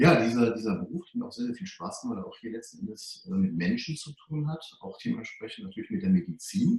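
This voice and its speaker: A man's high voice, very fast, with very wide pitch swings, big jumps in loudness and hardly any pauses. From Germany, Hunsrück (Rhineland-Palatinate). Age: 40s. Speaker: financial advisor for doctors. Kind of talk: interview.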